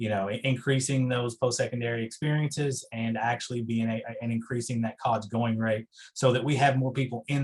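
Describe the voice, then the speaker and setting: Somewhat breathy and medium in pitch, a man with an Eastern Kentucky accent talks at a fairly quick pace with fairly even intonation. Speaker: higher education researcher. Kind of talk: meeting presentation Q&A. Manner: halting, many fillers.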